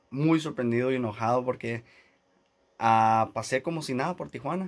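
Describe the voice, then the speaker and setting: A man speaking at a fairly slow pace. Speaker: YouTuber. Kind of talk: casual vlog. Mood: annoyed, recounting airline dispute. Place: studio. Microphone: phone near.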